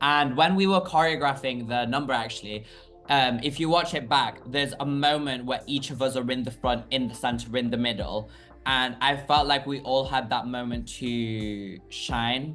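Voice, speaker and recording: A man's medium-pitched voice at a moderate pace with ordinary pitch variation, music in the background. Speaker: drag queen. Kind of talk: interview. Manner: loud; animated.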